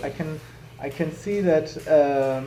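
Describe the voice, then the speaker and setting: This man speaks with a German accent at a fairly high pitch. His pitch varies in an ordinary way. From Germany. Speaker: juggler. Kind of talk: casual video commentary.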